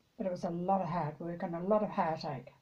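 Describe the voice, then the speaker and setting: This woman's tone is dark and mellow. There is a somewhat breathy quality to it. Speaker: former farmer. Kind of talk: interview answer.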